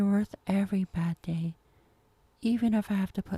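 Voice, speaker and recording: Somewhat breathy and dark, mellow in tone, a woman speaks at a moderate pace with a dry, close sound with no echo. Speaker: ASMR performer. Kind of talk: ASMR girlfriend comfort roleplay.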